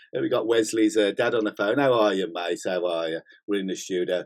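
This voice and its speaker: This speaker is a man with a British accent. He goes along at a fairly quick pace. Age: 60s. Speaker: gym owner and bodybuilding channel host. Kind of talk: casual live-stream chat. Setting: studio. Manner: animated, swearing freely.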